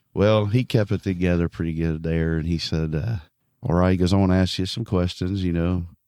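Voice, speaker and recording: A man mumbles in a very deep, low pitch with a dark, mellow tone. His intonation stays fairly even in a very clean recording with a silent background. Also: fairly quick pace. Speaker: evangelist preacher. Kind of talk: casual interview chat, testimony. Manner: mumbling.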